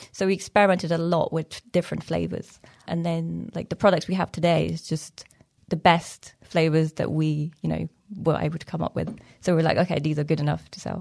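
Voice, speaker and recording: Vocal fry runs through a woman's fairly low-pitched voice as she talks at a fairly quick pace in a monotone, flat intonation. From Iran. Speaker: fermented food business owner. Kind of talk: casual chat.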